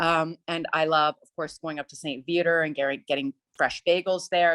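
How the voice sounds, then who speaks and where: Against a quiet background in a dry, close sound with no echo, a woman with a Canadian accent and an unremarkable speaking voice talks at a moderate pace and fairly low pitch. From Ottawa, Canada. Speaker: opera singer. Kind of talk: interview.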